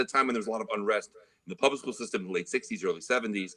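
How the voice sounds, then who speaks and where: The voice has a bright, sharp tone and vocal fry, with very wide pitch swings. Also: man. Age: 50s. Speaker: trumpet player. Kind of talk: casual interview.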